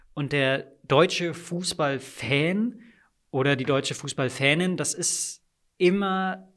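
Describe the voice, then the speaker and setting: Pitch moves in an ordinary way as this man talks. Nothing can be heard behind him on the very clean recording. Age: 30s. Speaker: sports commentator. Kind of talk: interview. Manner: trained, diaphragm-supported delivery.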